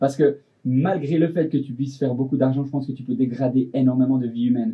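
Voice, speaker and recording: A man's voice is medium-pitched and somewhat breathy. He talks very fast. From Switzerland. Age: 20s. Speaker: fashion designer. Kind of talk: casual interview. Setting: studio.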